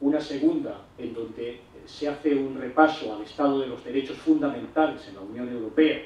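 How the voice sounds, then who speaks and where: Against noticeable background noise, a man talks at a moderate pace with fairly high pitch and fairly even intonation. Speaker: law professor. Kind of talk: lecture. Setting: stage with audience.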